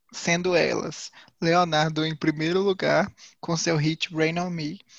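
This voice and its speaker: The speech comes very slowly in a flat monotone, in a dry, close sound with no echo. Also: man. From Viçosa, Minas Gerais, Brazil. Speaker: geography student. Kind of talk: casual chat.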